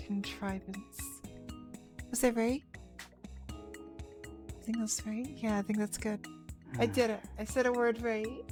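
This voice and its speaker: Music plays behind a woman speaking at a very slow pace. She leaves long, frequent pauses. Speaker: let's play streamer. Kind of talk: casual stream talk.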